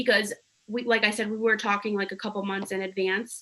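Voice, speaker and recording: This woman has an ordinary speaking voice with a fairly high pitch. She talks at a fairly quick pace. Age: 20s. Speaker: podcast co-host. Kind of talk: casual chat.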